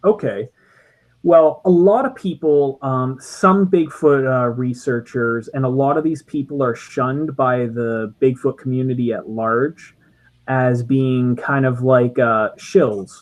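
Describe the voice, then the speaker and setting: Speaking very slowly, a man with a slight Canadian accent keeps a medium pitch and ordinary pitch variation. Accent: subtle Canadian. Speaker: podcast co-host. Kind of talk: casual chat. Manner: halting, many fillers.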